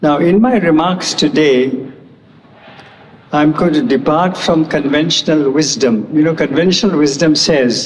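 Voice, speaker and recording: A man speaks fairly slowly, with audible room echo and noticeable background noise in the recording. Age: 80s+. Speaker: award lecturer. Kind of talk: lecture.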